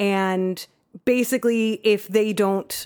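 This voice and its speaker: On a very clean recording with a silent background, a woman speaks in a fairly high pitch with ordinary pitch variation. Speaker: guest, friend of the podcast.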